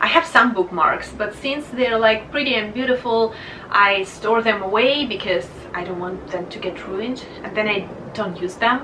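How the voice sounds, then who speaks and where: Recorded with noticeable background noise and audible room echo, a woman speaks at a fairly high pitch with a Russian accent. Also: big swings in loudness. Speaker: book vlogger. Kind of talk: casual vlog monologue.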